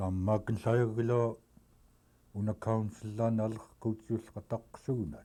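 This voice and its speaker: A man's fairly low, dark, mellow voice at a very slow pace, on a very clean recording with a silent background. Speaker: community elder. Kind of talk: oral history interview.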